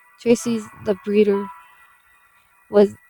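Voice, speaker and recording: Music plays in the background as a woman speaks. Her pitch is medium and her pace fairly slow. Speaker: amateur creepypasta reader. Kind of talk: creepypasta reading.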